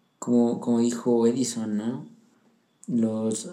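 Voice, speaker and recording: A man's voice with a dark, mellow tone. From central Mexico (Pachuca, Hidalgo). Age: 20s. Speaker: young churchgoer sharing his faith story. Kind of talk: personal testimony.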